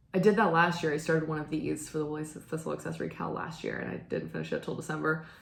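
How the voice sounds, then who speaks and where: With hardly any pauses, a woman rushes along at a very fast pace while noticeable background noise plays behind her. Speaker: knitting video host and church musician. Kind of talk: casual chat. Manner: hesitant, many fillers.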